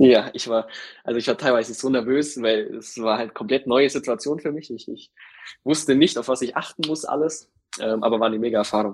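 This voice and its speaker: A man talks fairly quickly in a plain, everyday voice at medium pitch. His intonation stays fairly even. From Allgäu, Bavaria (Kempten). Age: 20s. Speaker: insurance field sales employee. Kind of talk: interview.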